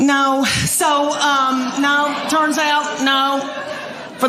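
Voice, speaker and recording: A woman speaks in a Southern US accent over noticeable background noise. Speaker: stand-up comedian. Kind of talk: stand-up comedy routine. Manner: folksy storytelling.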